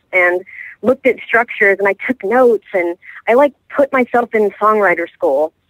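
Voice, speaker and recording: A woman with an American accent talks at a moderate pace and fairly high pitch with lively intonation, the sound dry and close with no echo. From Texas (Houston). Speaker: country singer-songwriter. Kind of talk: radio interview. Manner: halting, many fillers.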